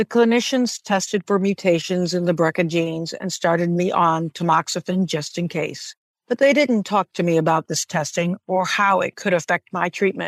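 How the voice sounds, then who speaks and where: Using an ordinary speaking voice, a woman talks at a moderate pace with hardly any pauses, her pitch fairly low and its variation ordinary. The sound is dry and close with no echo, against a quiet background. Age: 50s. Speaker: cancer patient. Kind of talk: testimony.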